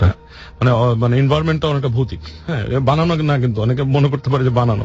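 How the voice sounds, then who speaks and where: Speaking at a medium pitch, a man is heard with music in the background. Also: ordinary pitch variation. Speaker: guest telling a personal haunted-place experience. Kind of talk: casual conversational storytelling, interview answer.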